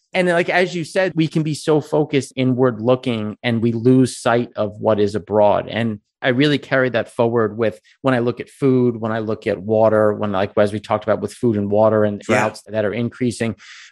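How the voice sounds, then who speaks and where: Plain, everyday male voice at medium pitch with an American accent and a fairly quick pace. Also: ordinary pitch variation. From US Northeast, Long Island. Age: 30s. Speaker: energy investor and company founder. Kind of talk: casual interview chat. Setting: video call.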